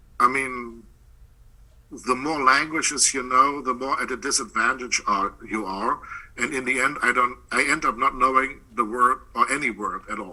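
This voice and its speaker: A man with a German accent, medium pitch, fairly even intonation and a moderate pace. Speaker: poet and professor. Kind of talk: interview.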